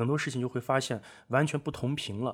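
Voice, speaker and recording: A man with an unremarkable speaking voice talks at a moderate pace with ordinary pitch variation. The recording is very clean, with a silent background. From northwest China. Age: 20s. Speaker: guest, online speaking coach. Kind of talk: casual chat. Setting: at host's home.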